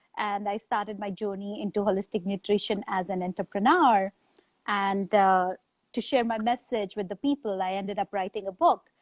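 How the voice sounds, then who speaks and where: A woman speaks with an Indian accent. Her pitch sits in the medium range. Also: ordinary pitch variation, moderate pace. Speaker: author and business strategist. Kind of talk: interview. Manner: hesitant, many fillers.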